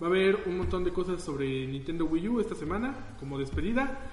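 A man with a Mexican accent speaks at a fairly high pitch with lively intonation, amid noticeable background noise and audible room echo. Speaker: podcast host. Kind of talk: casual chat.

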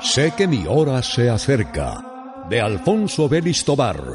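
Music plays in the background as a man talks. His fairly high voice moves at a very slow pace. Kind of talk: announcement, radio introduction. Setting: radio.

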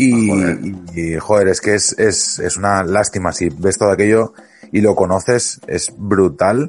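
A fairly low-pitched man talks at a fairly slow pace, his pitch varying in an ordinary way. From Huesca, Aragon, Spain. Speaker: podcast host. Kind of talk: casual chat. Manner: animated.

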